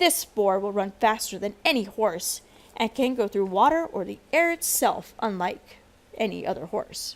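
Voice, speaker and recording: A woman puts on a gruff character voice with a fairly high pitch. She keeps a moderate pace. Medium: read story. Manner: gruff, grunting.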